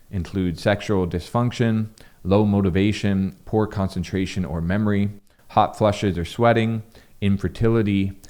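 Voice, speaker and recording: Recorded very cleanly against a silent background, a man with a fairly low, nasal voice speaks with fairly even intonation. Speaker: health content creator. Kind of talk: educational talk to camera. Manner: casual with fillers.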